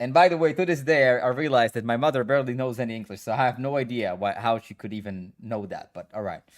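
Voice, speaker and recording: A man with an Israeli accent talks very fast at a medium pitch, with ordinary pitch variation and big swings in loudness. The recording is very clean, with a silent background. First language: Hebrew. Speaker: gaming streamer and coach. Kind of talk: casual live stream chat.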